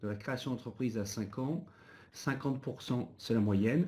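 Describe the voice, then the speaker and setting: A man speaks with a dark, mellow tone. His pace is very slow. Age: 50s. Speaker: business owner and association president. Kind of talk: webinar panel discussion.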